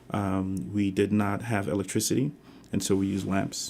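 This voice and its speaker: Using vocal fry, a man with a fairly low pitch speaks at a moderate pace. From Ghana, Kumasi, moved to the Bronx at 14. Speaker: university administrator. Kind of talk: interview testimony. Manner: hesitant, many fillers.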